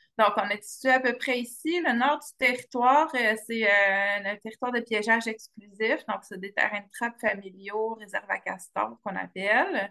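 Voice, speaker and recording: A woman's fairly high, bright, sharp voice at a moderate pace, with ordinary pitch variation, big swings in loudness and hardly any pauses. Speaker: biologist presenting wildlife projects. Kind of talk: webinar presentation. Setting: video call. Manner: hesitant with many fillers.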